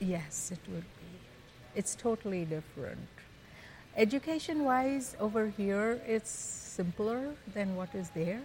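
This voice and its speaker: At a very slow pace, a woman with a medium pitch and a somewhat breathy voice uses lively intonation and big swings in loudness. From Tanzania, Kenya, then India. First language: Gujarati. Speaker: guest, mother. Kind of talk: casual interview conversation.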